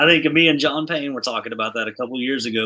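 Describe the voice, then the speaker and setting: His voice has a bright, sharp tone. This man moves along at a fairly quick clip. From Kentucky (Lexington). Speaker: podcast host and musician. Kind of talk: casual chat.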